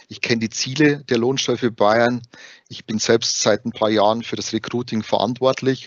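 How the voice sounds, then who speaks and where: Monotone, flat intonation from a man at a medium pitch, moving at a moderate pace. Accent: Bavarian. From Bavaria. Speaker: HR recruiter at tax assistance association. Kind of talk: interview.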